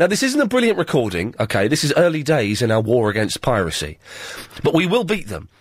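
Over a quiet background, a man speaks at a very fast pace and fairly high pitch, with very wide pitch swings and vocal fry, the sound dry with no echo. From England. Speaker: radio presenter. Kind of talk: talk radio monologue. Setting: studio. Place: studio. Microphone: studio mic.

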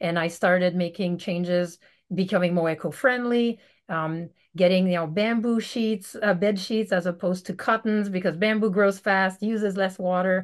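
A woman talks in a French Canadian accent with fairly even intonation. Her background is quiet. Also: medium pitch for a woman, moderate pace. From Quebec, Canada. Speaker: veterinarian; podcast guest. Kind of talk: casual interview. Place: home room. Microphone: video call.

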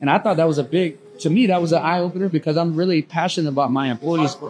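A man with a high pitch at a very fast pace, with light background noise. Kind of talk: podcast conversation. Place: bar.

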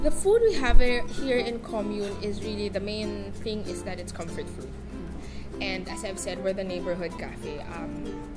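Music plays behind a woman who speaks at a moderate pace. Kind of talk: interview answer.

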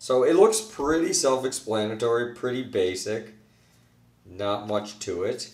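A man talks at a fairly slow pace. Audible room echo surrounds his voice. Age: 30s. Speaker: YouTuber doing product reviews. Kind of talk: unboxing and product review. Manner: casual, loose with filler words.

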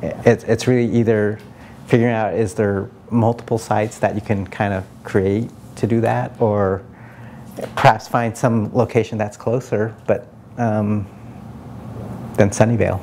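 A man with an American accent speaks fairly slowly in a flat monotone. He pauses long and often over light background noise. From US West Coast (Palo Alto, California); California. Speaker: city council candidate; council candidate. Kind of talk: interview; interview answer. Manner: hesitant, many fillers. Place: meeting room. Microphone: lapel.

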